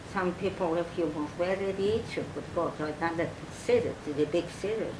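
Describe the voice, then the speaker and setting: A woman keeps a moderate pace and fairly even intonation while noticeable background noise sounds behind her. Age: old. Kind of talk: oral history interview. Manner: hesitant, halting.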